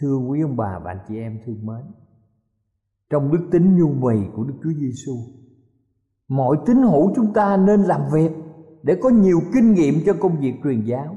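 A dark, mellow, somewhat breathy voice at a fairly slow pace with very wide pitch swings. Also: man. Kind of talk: sermon. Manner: formal, earnest preaching, addressing listeners respectfully.

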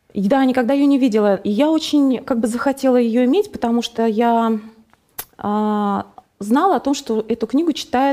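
At a moderate pace, a woman with a high voice keeps very even loudness and ordinary pitch variation, leaving long, frequent pauses. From Russia, Nizhny Novgorod. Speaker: guest sharing faith story. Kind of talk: testimony. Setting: studio.

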